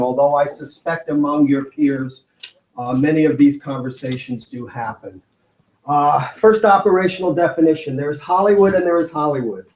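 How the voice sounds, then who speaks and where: With ordinary pitch variation, a man talks in an American accent. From New York, the Bronx. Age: 60s. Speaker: video artist and media producer. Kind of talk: conference talk. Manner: hesitant, many fillers.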